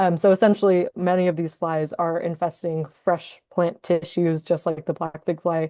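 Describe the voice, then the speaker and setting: A woman talks at a moderate pace with a fairly low pitch and a dark, mellow tone. Her intonation is monotone and flat, with hardly any pauses and a quiet background. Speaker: entomology graduate researcher. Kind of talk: webinar lecture. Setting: online webinar. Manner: self-described mumbling at times.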